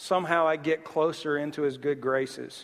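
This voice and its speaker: A Southern US accent at a moderate pace. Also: man. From US South. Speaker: pastor. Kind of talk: sermon.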